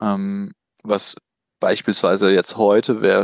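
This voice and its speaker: The recording of a man with a fairly low pitch has a dry, close sound with no echo and a quiet background. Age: 40s. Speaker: business consultant. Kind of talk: interview. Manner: hesitant, many fillers.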